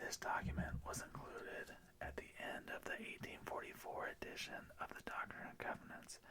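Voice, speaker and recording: A man is whispering at a fairly slow pace. His tone is calm. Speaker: ASMR creator reading scripture. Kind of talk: ASMR scripture reading. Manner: soft-spoken, calm.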